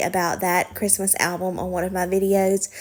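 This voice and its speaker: Medium-pitched woman with an American accent at a moderate pace, on a very clean recording with a silent background. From US South, Alabama. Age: 20s. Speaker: lifestyle vlogger. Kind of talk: casual Q&A chat. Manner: relaxed, many filler ums.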